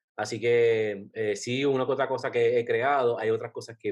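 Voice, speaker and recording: Against a quiet background, a man uses a normal speaking voice at a moderate pace with fairly even intonation. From Puerto Rico. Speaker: travel blogger. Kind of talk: casual interview.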